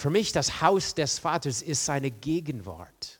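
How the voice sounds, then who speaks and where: A man's voice with lively intonation and vocal fry, in a very clean recording with a silent background. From rural farm upbringing. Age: 60s. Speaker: guest preacher. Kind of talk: sermon. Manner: halting, many fillers.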